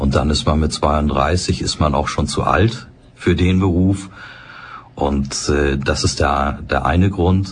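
A man's calm, very deep and low voice at a very slow pace, very even in loudness, with audible room echo and noticeable background noise. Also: ordinary pitch variation. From Hamburg, northern Germany. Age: 60s. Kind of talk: interview. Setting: studio.

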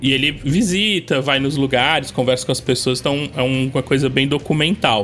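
At a moderate pace and with ordinary pitch variation, the speaker talks over background music. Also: man. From coastal São Paulo state, Brazil. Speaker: YouTuber, tabletop RPG game master. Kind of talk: casual chat.

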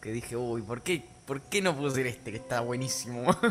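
A man talks at a fairly quick pace with a Rioplatense accent. His pitch varies in an ordinary way. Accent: Argentine Rioplatense Spanish. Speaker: podcast co-host. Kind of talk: casual chat.

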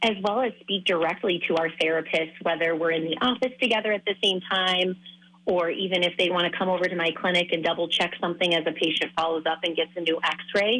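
A normal speaking voice from a woman with an American accent, fairly low in pitch, fairly quick, and fairly even in intonation. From Minnesota. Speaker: foot and ankle surgeon. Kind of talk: interview.

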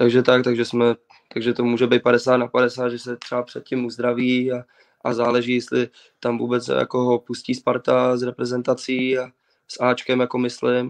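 The sound is dry and close with no echo as a man speaks at a medium pitch and moderate pace in a flat monotone. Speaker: footballer. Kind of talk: interview. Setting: video call from home.

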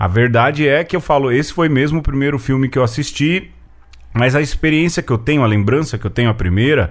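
A man speaks at a fairly quick pace in an unremarkable speaking voice, pitched fairly high. His pitch varies in an ordinary way over a quiet background. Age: 40s. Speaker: podcast host. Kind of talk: casual chat.

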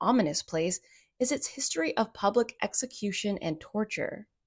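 A woman speaks in a dramatic, somewhat breathy tone with very wide pitch swings. Her pace is moderate, and the sound is dry and close with no echo. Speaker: podcast host and storyteller. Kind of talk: atmospheric ghost story telling, scripted narration. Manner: suspenseful, hushed dramatic build-ups with rhetorical questions; playfully ominous, lingering on teasing asides.

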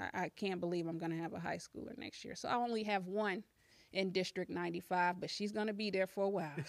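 A woman with an American accent, medium pitch, very fast pace and fairly even intonation. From US Midwest, southern Illinois. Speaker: school board candidate and social worker. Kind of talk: casual interview.

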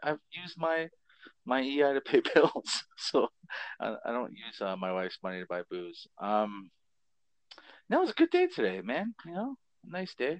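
With a Canadian accent, a man speaks in a dry, close recording with no echo and a quiet background, using very wide pitch swings, big swings in loudness, and long, frequent pauses. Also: fairly high pitch for a man, moderate pace. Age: 40s. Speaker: podcast co-host. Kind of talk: casual chat. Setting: phone call.

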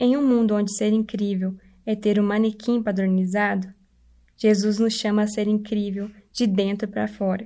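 A woman's dark, mellow voice at medium pitch, monotone and flat, at a moderate pace with very even loudness, on a very clean recording with a silent background. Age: 20s. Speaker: church member giving devotional. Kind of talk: devotional talk.

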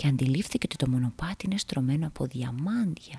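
Lively intonation while reading aloud in a natural voice.

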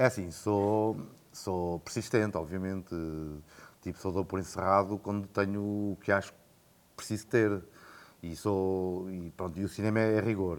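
A man speaks at a moderate pace in a very deep, low voice, with fairly even intonation. The recording is very clean, with a silent background. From Portugal, Coimbra. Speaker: film director and producer. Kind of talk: casual interview. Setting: in person, Coimbra.

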